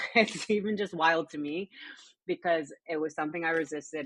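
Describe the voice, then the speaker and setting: A woman with an American accent and a very deep, low pitch speaks at a fairly quick pace with ordinary pitch variation, the sound dry and close with no echo. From Connecticut, US Northeast. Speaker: mental health coach and personal trainer. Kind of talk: testimony. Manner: animated.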